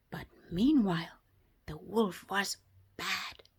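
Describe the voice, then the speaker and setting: On a very clean recording with a silent background, a woman speaks at a very slow pace in a gentle tone. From South Africa. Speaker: storyteller for toddlers. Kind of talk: children's bedtime story. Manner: gentle, soft-spoken.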